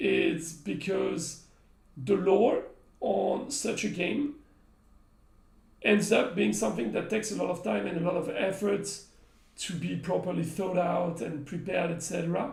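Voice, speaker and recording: In a French accent, a man with a high voice speaks fairly slowly with very wide pitch swings and long, frequent pauses, amid audible room echo. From France. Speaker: game company community manager. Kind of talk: live stream chat. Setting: live stream.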